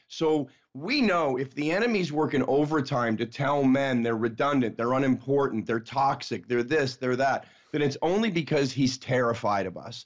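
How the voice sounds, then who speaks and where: Medium-pitched with ordinary pitch movement, the man has an unremarkable speaking voice and keeps a moderate pace. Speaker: author and men's ministry founder. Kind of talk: interview conversation about faith.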